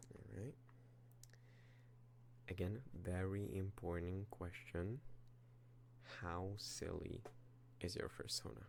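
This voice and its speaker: A soft-spoken man talks very slowly in a very deep, low voice, somewhat breathy. His intonation is lively, broken by long, frequent pauses. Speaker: ASMR content creator. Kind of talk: ASMR roleplay, personal attention, soft-spoken talk to camera. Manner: soft-spoken, hesitant, somewhat stuttery, improvised.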